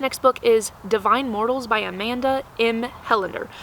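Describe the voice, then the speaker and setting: The speaker is a woman with a fairly high pitch. Noticeable background noise is present. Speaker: book youtuber. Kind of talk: casual chat. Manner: fast.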